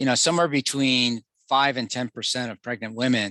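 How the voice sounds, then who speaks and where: A man is speaking. His tone is bright and sharp. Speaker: physician. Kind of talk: webinar Q&A. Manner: halting.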